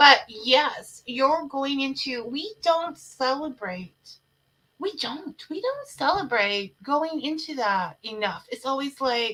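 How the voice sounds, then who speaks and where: A woman's high, raised and projected voice, bright and sharp in tone, at a very slow pace with lively intonation. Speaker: talk show host. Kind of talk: casual interview chat. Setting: livestream show. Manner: animated.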